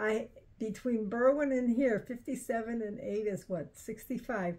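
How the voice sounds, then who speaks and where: Speaking fairly slowly with a Chicago accent, a woman has a fairly high voice, a dark, mellow tone and ordinary pitch variation. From Chicago, US Midwest. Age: 80s+. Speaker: elderly relative telling memories. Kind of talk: casual chat. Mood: reminiscing, relaxed. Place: home room. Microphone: camera far.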